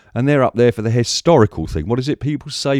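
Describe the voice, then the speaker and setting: A man speaks with an English accent. The sound is dry and close with no echo, in a very clean recording with a silent background. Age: 60s. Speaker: YouTuber, film archivist. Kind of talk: rant to camera. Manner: animated.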